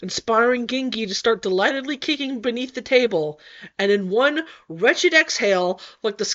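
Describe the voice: The recording consists of plain reading aloud.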